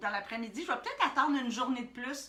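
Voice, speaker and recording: Speaking with a Quebec accent, a woman has a high pitch. Background noise is noticeable and room echo can be heard. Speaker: art workshop instructor. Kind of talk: live-streamed tutorial. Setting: Facebook Live stream. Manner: hesitant with many fillers.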